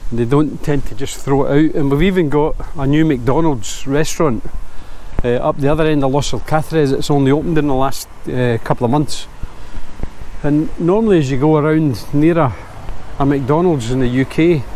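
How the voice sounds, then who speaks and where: The tone is relaxed and the loudness very even. Audible room echo and noticeable background noise surround the voice. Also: man. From Scotland, Glasgow. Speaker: vlogger. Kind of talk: casual vlog narration. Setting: outdoors, walking. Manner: relaxed, conversational with hesitations.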